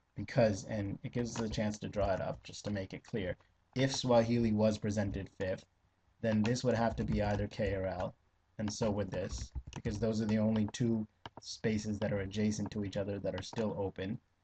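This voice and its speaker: Somewhat breathy and fairly low-pitched, this man talks at a fairly quick pace in a monotone, flat intonation. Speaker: LSAT tutor. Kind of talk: tutorial. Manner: hesitant with fillers.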